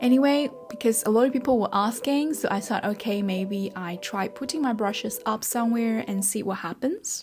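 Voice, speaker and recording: A woman with a Chinese accent, fairly high pitch, somewhat breathy voice, lively intonation and a moderate pace in a very clean recording with a silent background. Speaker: self-taught artist and online creator. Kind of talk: personal story vlog.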